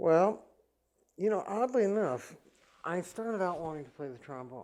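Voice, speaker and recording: A high-pitched man talks at a moderate pace with lively intonation and big swings in loudness. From US Midwest, Elkhart, Indiana. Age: 60s. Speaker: orchestral horn player. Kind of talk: interview. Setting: apartment. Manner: halting.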